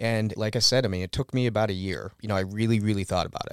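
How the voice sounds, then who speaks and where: A man with a fairly low pitch speaks at a fairly quick pace in a plain, everyday voice, his intonation fairly even. The recording is very clean with a silent background, and the sound is dry and close with no echo. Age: 30s. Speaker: dog owner. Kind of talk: casual interview. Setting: recording studio.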